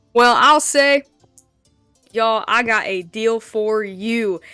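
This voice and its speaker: Music plays in the background as a woman speaks at a fairly slow pace. Her pitch is fairly high, with ordinary variation. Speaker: tabletop game player. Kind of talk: playful sales pitch, tabletop role-play. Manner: jokey, self-deprecating.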